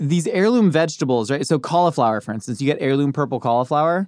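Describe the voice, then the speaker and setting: Very fast and lively in intonation, the man speaks at a fairly high pitch. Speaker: podcast host. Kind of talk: casual chat. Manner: dry delivery.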